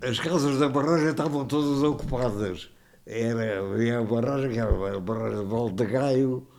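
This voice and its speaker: A man's dark, mellow voice at medium pitch, with ordinary pitch variation. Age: 80s+. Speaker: retired hydraulic engineer. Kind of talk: podcast interview answer. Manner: good-humoured storyteller.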